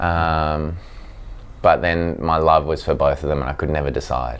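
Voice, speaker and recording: The speaker uses an Australian accent and keeps a fairly slow pace. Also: man. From South Africa, raised in Australia (Sydney North Shore) from age seven. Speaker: professional cricketer. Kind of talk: interview. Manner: hesitant, many fillers.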